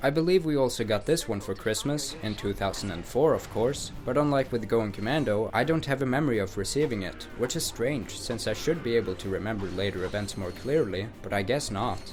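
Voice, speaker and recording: A man's fairly quick, lively-toned speech over music in the background. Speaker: gaming YouTuber. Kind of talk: scripted video essay narration.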